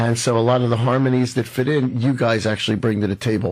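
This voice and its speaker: In an ordinary speaking voice, a man talks at a moderate pace on a very clean recording with a silent background. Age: 60s. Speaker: radio host. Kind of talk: radio interview.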